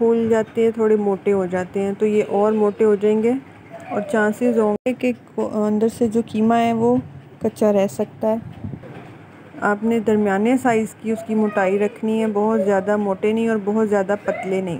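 Very slowly and with fairly even intonation, a woman speaks over light background noise. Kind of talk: cooking tutorial. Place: kitchen.

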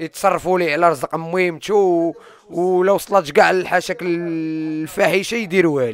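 With hardly any pauses, a man speaks fairly slowly at a high pitch with fairly even intonation and a dry sound with no echo. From Morocco, Salé; Morocco. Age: 20s. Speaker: former prisoner and YouTuber. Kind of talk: personal testimony interview. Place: home room. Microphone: handheld.

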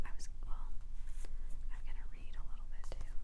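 The pace here is fairly quick. The speaker is a woman. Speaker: ASMR artist, author and oracle card reader. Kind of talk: ASMR crystal tapping and soft whispered reading. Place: home room. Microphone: phone near.

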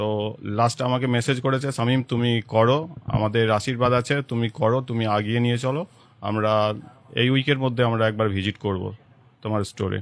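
A man speaks with a plain, everyday voice at a medium pitch, keeping his intonation fairly even. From Hooghly district, West Bengal. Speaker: shop owner. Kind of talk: interview.

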